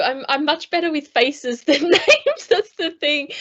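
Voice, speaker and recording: A woman talks at a moderate pace. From Australia. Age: 40s. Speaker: former Paralympic athlete, speaker. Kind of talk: conference talk. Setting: video call. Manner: hesitant, many fillers.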